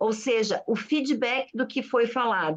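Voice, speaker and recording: A woman is speaking. Her pace is very slow. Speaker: group organizer. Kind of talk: online group discussion. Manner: animated.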